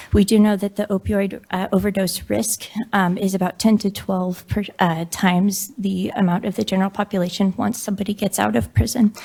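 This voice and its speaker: Speaking at a fairly quick pace with hardly any pauses, a woman has a medium pitch, a dark, mellow tone, a somewhat breathy quality and fairly even intonation. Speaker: physician testifying at hearing. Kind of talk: public testimony. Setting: legislative committee hearing room. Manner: hesitant, many fillers.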